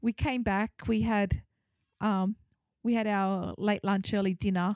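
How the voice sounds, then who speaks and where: Fairly slow and fairly even, a woman with a plain, everyday voice speaks at medium pitch in a very clean recording with a silent background and a dry, close sound with no echo. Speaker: podcast host. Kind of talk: casual conversational podcast.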